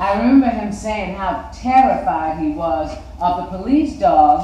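Room echo can be heard as the words come at a fairly slow pace. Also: woman. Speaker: reader of a personal recollection. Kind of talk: read-aloud recollection. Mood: earnest, reflective. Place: studio.

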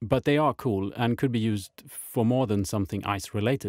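An unremarkable speaking voice from a man, medium in pitch with ordinary pitch variation, at a moderate pace, with a dry, close sound and no echo. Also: very clean recording, silent background. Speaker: miniature painter and diorama builder. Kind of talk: hobby tutorial narration.

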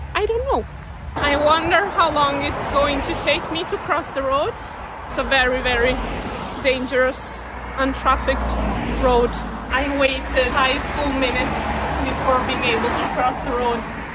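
A woman speaks at a moderate pace with ordinary pitch variation and long, frequent pauses. The sound is dry with no echo, set against loud background noise. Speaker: travel vlogger. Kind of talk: casual vlog chat. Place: street. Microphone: phone near.

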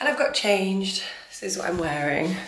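A woman's fairly low voice with a British accent, with audible room echo and noticeable background noise. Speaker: equestrian vlogger. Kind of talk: casual vlog.

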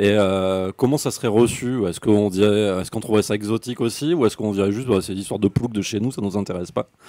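In an unremarkable speaking voice, a man talks at a fairly quick pace with a fairly low pitch and ordinary pitch variation. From France, Médoc (Gironde). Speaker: author and university lecturer. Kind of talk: author talk at book fair.

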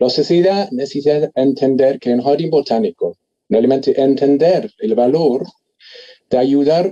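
Speaking in an English accent, a man uses lively intonation and a dark, mellow tone at a fairly high pitch. He goes at a fairly slow pace against a quiet background. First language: English (speaking Spanish). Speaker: botanist; panelist. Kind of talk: panel discussion. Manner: halting. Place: home room. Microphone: video call.

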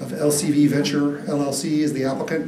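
Light noise sits in the background as a man talks. Room echo can be heard on his voice. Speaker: presenter. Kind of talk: formal staff report presentation. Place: hall.

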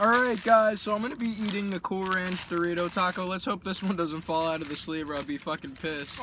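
Speaking in a raised, projected voice at a very fast pace with hardly any pauses, a man shows ordinary pitch variation, the sound dry with no echo and background noise noticeable. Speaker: vlogger. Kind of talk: casual vlog chat, eating review. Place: car. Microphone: phone near.

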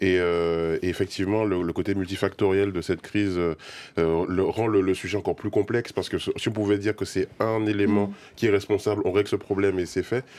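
The speech moves at a fairly quick pace in a flat monotone. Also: man, fairly low pitch for a man. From Guadeloupe. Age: 30s. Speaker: video game creator. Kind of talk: debate. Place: studio.

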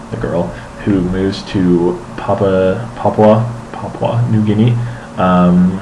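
A man's voice with fairly even intonation over noticeable background noise. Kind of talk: casual vlog chat. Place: home room. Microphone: webcam.

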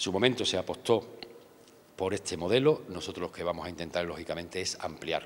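His very deep, low pitch shows ordinary variation as this man moves at a fairly quick pace. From Andalusia, Spain (Ayamonte, Huelva); Andalusia. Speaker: local politician, deputy mayor for tourism. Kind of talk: interview. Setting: outdoors in town hall courtyard. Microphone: handheld.

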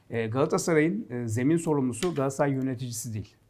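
A plain, everyday voice moves at a moderate pace with lively intonation over a very clean recording and a silent background. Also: man. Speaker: football pundit. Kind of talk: casual sports talk show.

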